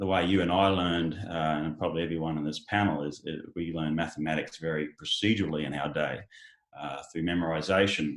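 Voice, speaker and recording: This man has a very deep, low pitch and a monotone, flat intonation. He talks at a fairly quick pace. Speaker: education company founder. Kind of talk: panel discussion. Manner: halting, many fillers.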